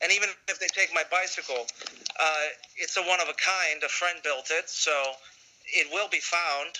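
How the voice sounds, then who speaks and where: A man's high voice at a moderate pace with fairly even intonation, long, frequent pauses and noticeable background noise. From United States, Puerto Rican family. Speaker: cycle tourist. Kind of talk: interview.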